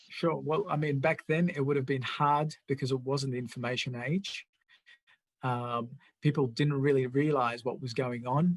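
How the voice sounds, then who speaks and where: A man's somewhat breathy voice, fairly high in pitch, moves at a moderate pace and keeps a fairly even intonation. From immigrant to Australia. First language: not English (English is third language). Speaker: political party show host. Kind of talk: interview chat.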